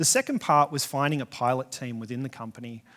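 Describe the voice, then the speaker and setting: A man with an Australian accent and fairly even intonation, on a very clean recording with a silent background. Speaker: software engineer, conference speaker. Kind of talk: conference talk. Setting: stage with audience.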